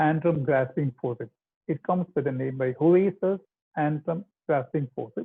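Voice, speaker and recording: A man speaks at a moderate pace with a fairly high pitch. His pitch moves with ordinary variation. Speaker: ENT surgeon. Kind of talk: lecture. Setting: video call. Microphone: too far from the mic.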